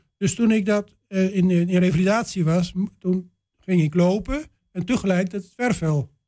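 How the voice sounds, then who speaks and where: A man speaks at a high pitch in a dark, mellow tone. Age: 60s. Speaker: retired vet and litter-picking volunteer. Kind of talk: radio interview. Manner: halting.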